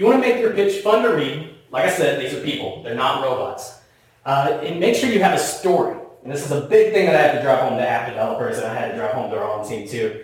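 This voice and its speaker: A man with an American accent and fairly high pitch talks very fast with very wide pitch swings, with audible room echo and noticeable background noise. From US South. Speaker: marketing executive. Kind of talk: conference presentation. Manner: casual, conversational.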